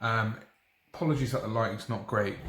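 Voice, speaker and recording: A somewhat breathy man's voice with a British accent. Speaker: chemistry teacher. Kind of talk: tutorial. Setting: dining room at home in the evening. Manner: soft-spoken.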